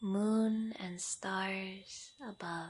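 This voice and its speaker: Somewhat breathy, a woman speaks at medium pitch in a gentle, calm tone with monotone, flat intonation. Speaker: yoga nidra guide. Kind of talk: guided meditation, yoga nidra. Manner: slow, gentle, calm.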